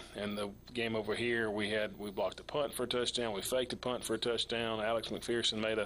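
This man has a Southern US accent and a medium-pitched voice. His intonation is flat and monotone. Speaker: high school football coach. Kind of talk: interview.

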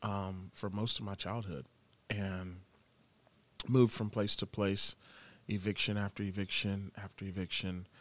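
A fairly low-pitched man with an American accent, fairly slow and fairly even in intonation, with long, frequent pauses. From Florida, Tampa. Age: 20s. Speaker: worship pastor. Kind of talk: casual interview, personal testimony.

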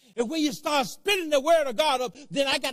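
At a very fast pace, a man talks in an animated tone with an extremely high pitch. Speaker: preacher. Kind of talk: sermon to a live congregation. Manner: animated, emphatic call-and-response delivery; repetitive, pausing to drive points home.

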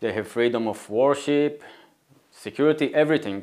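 A man with an Israeli accent speaks at a moderate pace. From northern Israel, Galilee. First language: Hebrew. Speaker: nonprofit co-founder. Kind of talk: interview.

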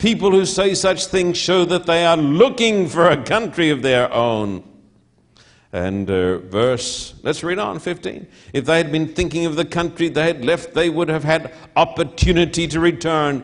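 Using an Australian accent, a man with a fairly high pitch talks at a moderate pace with lively intonation. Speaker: pastor. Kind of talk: sermon. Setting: church with audience, televised. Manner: emphatic, repetitive.

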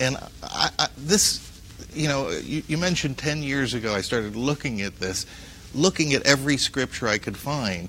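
An unremarkable speaking voice from a man with an American accent, medium in pitch, with lively intonation and a moderate pace. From US Northeast, Paterson, New Jersey. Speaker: news editor. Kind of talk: interview.

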